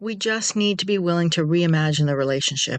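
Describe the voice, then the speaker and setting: The tone is warm and gentle, and the pace is moderate. The background stays quiet. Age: 60s. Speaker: self-care podcast host. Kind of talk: podcast monologue. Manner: warm, gentle.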